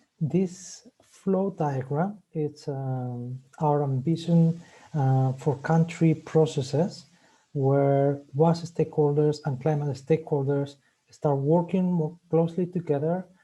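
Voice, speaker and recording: A man speaks very slowly at a fairly high pitch, somewhat breathy, with a dark, mellow tone. His intonation is fairly even against a quiet background. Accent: Spanish. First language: Spanish. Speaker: webinar host. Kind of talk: webinar presentation. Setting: online webinar. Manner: hesitant, many fillers.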